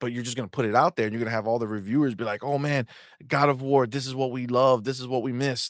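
A man talks at a very fast pace in a medium pitch, with ordinary pitch variation and a dry, close sound that has no echo. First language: English (heritage Spanish speaker). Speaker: gaming podcast co-host. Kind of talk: casual chat. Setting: live stream. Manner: animated.

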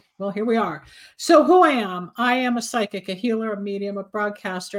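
A woman is speaking. Her pace is moderate. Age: 60s. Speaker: psychic medium and radio host. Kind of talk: casual chat. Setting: video call. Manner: animated.

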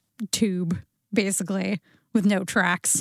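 With an ordinary speaking voice at a medium pitch, a woman talks at a fairly slow pace in a dry, close sound with no echo. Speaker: podcast host. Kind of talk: casual chat. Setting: studio.

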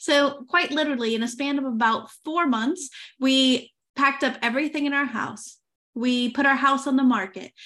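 Against a quiet background, a woman with an American accent projects a raised, high-pitched voice with a bright, sharp tone at a moderate pace. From United States. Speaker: podcast host. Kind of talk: casual interview.

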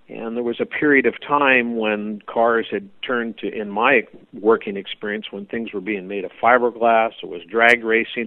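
At a moderate pace and medium pitch, a man with a Californian accent talks with hardly any pauses and big swings in loudness. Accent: Californian American. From US West Coast, Oakland, California. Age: 60s. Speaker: hot rod builder. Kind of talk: interview.

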